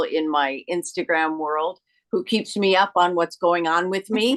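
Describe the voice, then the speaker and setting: A woman with a plain, everyday voice speaks at a fairly slow pace, her pitch fairly low and its variation ordinary. The sound is dry and close, with no echo. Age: 60s. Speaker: actress and author. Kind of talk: panel interview.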